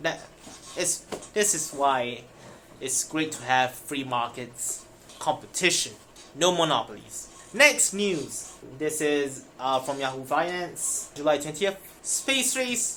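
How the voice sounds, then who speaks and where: The speech is very slow, with long, frequent pauses. The speaker has a non-native accent. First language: not English. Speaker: finance news YouTuber. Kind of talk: reading news aloud with commentary. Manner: casual, self-interrupting.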